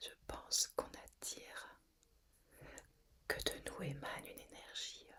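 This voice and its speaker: A woman whispering at a very slow pace. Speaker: ASMR / guided relaxation content creator. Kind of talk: whispered ASMR relaxation talk. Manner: whispered, soft-spoken, slow, calming.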